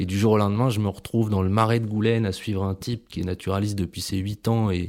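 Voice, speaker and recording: Over a silent background on a very clean recording, a man speaks fairly quickly. His fairly low voice stays in a flat monotone. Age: 30s. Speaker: ecologist. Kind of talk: interview testimony. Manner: halting, many repetitions.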